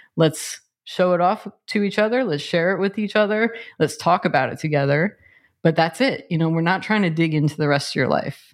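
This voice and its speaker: A plain, everyday voice at a moderate pace with ordinary pitch variation against a quiet background. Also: woman. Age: 40s. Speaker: podcast co-host. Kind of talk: casual chat.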